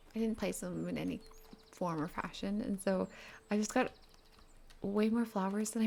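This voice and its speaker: At a moderate pace, a soft-spoken woman talks. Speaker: gaming content creator. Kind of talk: casual chat.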